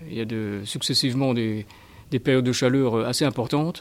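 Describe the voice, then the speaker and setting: With a plain, everyday voice, this man talks at a moderate pace. His pitch is medium and his intonation fairly even. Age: 60s. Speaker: school gardener. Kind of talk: interview answers.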